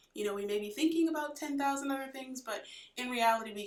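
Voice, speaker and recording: Over noticeable background noise, a woman talks very fast in a high pitch, with very wide pitch swings. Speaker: chiropractor, guest. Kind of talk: casual interview chat. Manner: soft-spoken.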